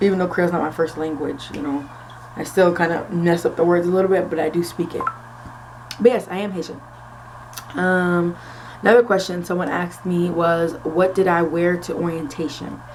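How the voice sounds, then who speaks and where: In a room with audible echo and noticeable background noise, a woman with a fairly low pitch speaks at a fairly quick pace. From Florida, US (early years Philadelphia). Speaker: nursing student vlogger. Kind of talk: casual vlog Q&A. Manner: casual with frequent fillers.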